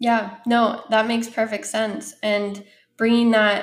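At a moderate pace comes an ordinary speaking voice. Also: woman. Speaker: podcast host. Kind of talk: casual interview.

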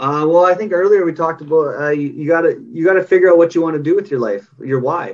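This man's pitch sits high, with ordinary variation and a Canadian accent. He speaks with hardly any pauses. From Canada. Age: 30s. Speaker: parenting coach. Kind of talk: interview. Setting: video call.

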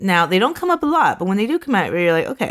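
A woman at a medium pitch with very wide pitch swings. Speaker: podcast host telling the case. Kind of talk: casual true crime storytelling with banter.

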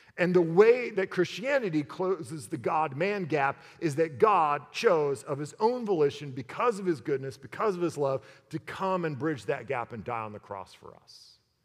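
A man at a moderate pace with a fairly high pitch, very wide pitch swings and big swings in loudness, over music in the background. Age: 40s. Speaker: pastor. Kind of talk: sermon.

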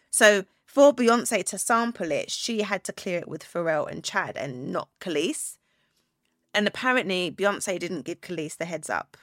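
A woman speaks fairly slowly with a British accent, at a medium pitch, with lively intonation and big swings in loudness. The recording is very clean, with a silent background and a dry, close sound with no echo. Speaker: podcast host and business owner. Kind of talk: casual solo talk. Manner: chatty.

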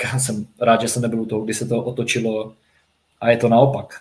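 A man speaks in a flat, monotone way, his voice somewhat breathy. The recording is very clean, with a silent background. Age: 30s. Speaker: floorball player. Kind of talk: casual chat.

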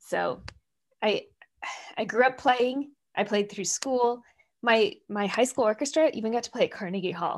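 An animated woman with an American accent talks at a moderate pace with ordinary pitch variation and long, frequent pauses. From US Midwest, Minnesota. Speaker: tech company director. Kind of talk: interview chat.

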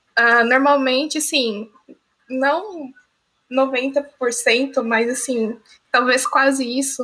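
A woman's high, bright, sharp voice is raised and projected, with fairly even intonation, a very slow pace and long, frequent pauses. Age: young. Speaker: student and streamer, podcast co-host. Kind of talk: casual chat.

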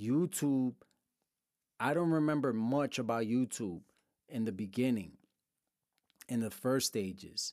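Keeping his loudness very even, a man with a New York accent talks at a fairly slow pace with long, frequent pauses. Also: medium pitch for a man, lively intonation. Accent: New York City. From Brooklyn, New York. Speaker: podcast host on business and technology. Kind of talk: casual solo monologue.

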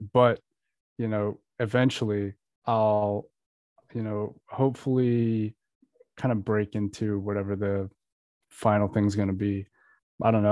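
A man talks with an American accent at a fairly low pitch. The background is quiet. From Florida. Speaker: musician. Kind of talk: casual interview chat. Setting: home, remote recording. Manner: laid-back, low-key.

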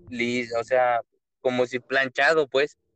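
A man speaks over background music, his voice dry and close with no echo. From Mexico, Querétaro. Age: 20s. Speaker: truck driver and miner. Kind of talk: storytelling in casual chat.

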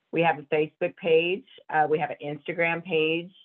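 Slow-paced and fairly even in intonation, a woman with a Southern US accent speaks at a very deep, low pitch. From US South (Georgia). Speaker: business owner and horse rider. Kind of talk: interview.

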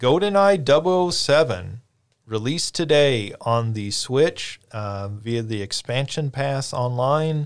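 At a very slow pace, a man speaks with lively intonation. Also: medium pitch for a man, very clean recording, silent background. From western Kentucky (Paducah). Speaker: podcast host. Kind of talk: casual chat.

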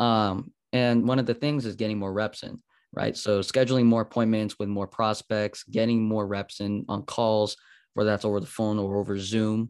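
Against a quiet background, a man with a fairly low pitch speaks at a moderate pace in a monotone, flat delivery. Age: 20s. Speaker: marketing agency owner for fitness businesses. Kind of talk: podcast interview.

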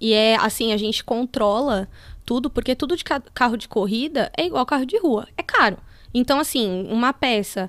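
With an ordinary speaking voice, a woman talks at a moderate pace and fairly high pitch with ordinary pitch variation, in a very clean recording with a silent background. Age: 30s. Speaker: motorsport engineer. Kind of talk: casual interview.

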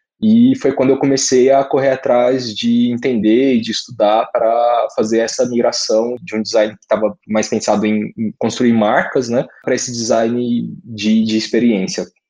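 A man's medium-pitched voice, an unremarkable speaking voice, at a moderate pace with fairly even intonation. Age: 20s. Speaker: UX designer. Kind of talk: casual chat.

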